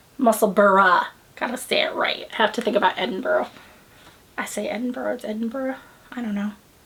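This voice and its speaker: Over noticeable background noise, an American-accented woman with a fairly high pitch and ordinary pitch variation talks at a fairly quick pace, broken by long, frequent pauses. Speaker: knitting podcast host. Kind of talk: casual chat. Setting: home, filming on a tripod.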